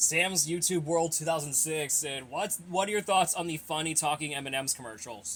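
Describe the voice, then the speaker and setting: The speech moves at a moderate pace with ordinary pitch variation and hardly any pauses. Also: man, fairly high pitch for a man. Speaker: youtuber answering viewer questions. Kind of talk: casual Q&A monologue. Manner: mumbled, stumbling speech; halting, with repeated words.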